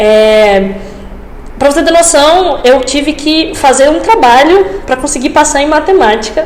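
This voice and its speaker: A woman speaks in a high voice with a northeastern Brazilian accent and very even loudness. The room echo is audible, and background noise is noticeable. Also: lively intonation, fairly slow pace. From Brazil, Rio Grande do Norte interior (Açu). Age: 20s. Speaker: medical student, engineer. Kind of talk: podcast interview.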